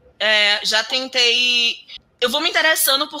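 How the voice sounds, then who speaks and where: A woman projects her voice, raising it high in pitch. She keeps a moderate pace. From Bahia, Brazil (interior, Alagoinhas). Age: 30s. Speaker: software developer and programming teacher. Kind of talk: interview.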